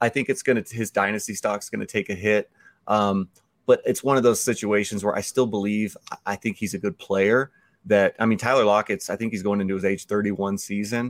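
This man has a normal speaking voice, fairly low in pitch, and speaks at a fairly quick pace in a dry, close sound with no echo on a very clean recording with a silent background. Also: fairly even intonation. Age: 40s. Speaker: fantasy football analyst. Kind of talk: casual chat.

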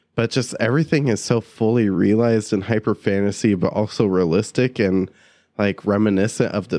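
Speaking at a fairly quick pace over a quiet background, a man has an unremarkable speaking voice pitched fairly low. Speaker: podcast host. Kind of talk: casual chat.

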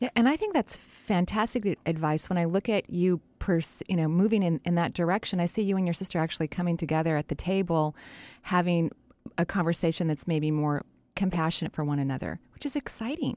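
Using a normal speaking voice, a woman talks at a fairly quick pace with a fairly low pitch, ordinary pitch variation and very even loudness. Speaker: radio host and energy healer. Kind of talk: call-in radio show. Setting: studio.

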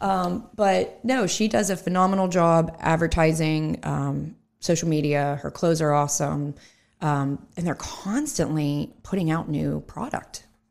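A woman with an unremarkable speaking voice talks at a fairly slow pace, her pitch fairly low and its variation ordinary, on a very clean recording with a silent background. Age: 30s. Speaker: entrepreneur and financial advisor. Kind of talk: casual interview. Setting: studio.

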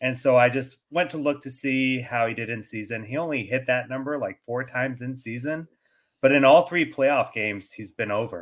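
At a moderate pace, a man with an ordinary speaking voice and a medium pitch uses ordinary pitch variation. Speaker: fantasy football podcaster. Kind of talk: casual chat.

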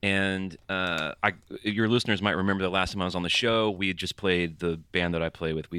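At a fairly quick pace, a man with an American accent speaks in a very deep, low voice with a bright, sharp tone, recorded very cleanly with a silent background. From US South, Alabama (Birmingham). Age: 30s. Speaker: musician. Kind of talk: casual chat.

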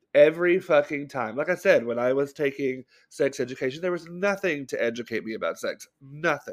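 A man with an American accent talks in a plain, everyday voice at a fairly high pitch, with ordinary pitch variation. His pace is fairly quick with hardly any pauses, and the recording is very clean with a silent background. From US South, Bible Belt. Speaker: podcast co-host. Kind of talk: casual chat.

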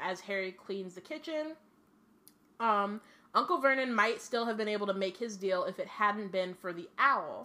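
With an American accent, a woman talks at a moderate pace in a fairly high, bright and sharp voice with an animated tone. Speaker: podcast host. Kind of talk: casual chat. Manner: animated, casual.

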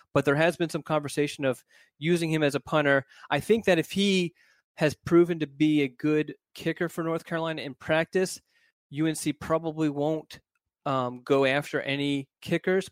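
A man's plain, everyday voice, fairly high-pitched with fairly even intonation, at a moderate pace in a very clean, dry, close recording with no echo and a silent background. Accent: American. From Philadelphia, US. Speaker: recruiting reporter. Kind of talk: casual chat.

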